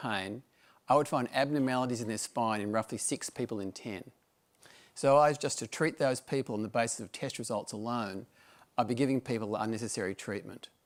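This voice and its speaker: A man with an Australian accent speaks at a fairly quick pace, medium in pitch with ordinary pitch variation, in a very clean recording with a silent background. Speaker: medical director, doctor. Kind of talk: presentation talk. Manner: formal.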